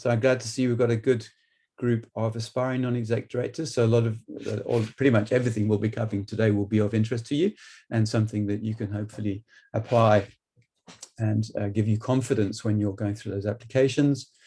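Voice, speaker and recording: Talking at a very fast pace, a man with a medium pitch and a dark, mellow, somewhat breathy tone keeps a monotone, flat intonation. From UK. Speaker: business trainer and board director. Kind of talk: webinar presentation. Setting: online webinar.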